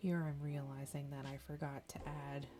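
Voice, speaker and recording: Music plays behind a soft-spoken woman. Her pitch is very deep and low. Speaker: novelist. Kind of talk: ASMR journaling tutorial.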